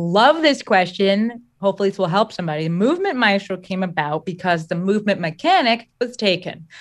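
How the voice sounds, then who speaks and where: A normal speaking voice from a woman with an American accent, medium pitch, lively intonation and a fairly quick pace, over a quiet background. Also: hardly any pauses. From New Jersey. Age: 30s. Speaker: business coach. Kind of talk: interview conversation.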